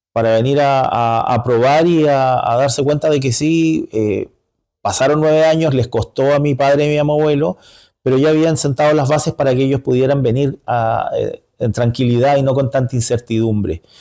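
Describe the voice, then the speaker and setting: With a Chilean accent, a man speaks at a moderate pace in a dark, mellow tone, his pitch fairly high, with ordinary pitch variation and very even loudness. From northern Chile, Iquique. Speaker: community leader. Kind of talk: interview. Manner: halting, many fillers.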